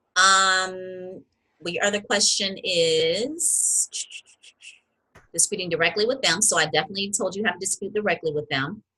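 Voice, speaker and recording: Ordinary pitch variation runs through a woman's voice, which has a bright, sharp tone. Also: medium pitch for a woman. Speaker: credit repair educator. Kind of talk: educational talk to camera. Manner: fast; animated.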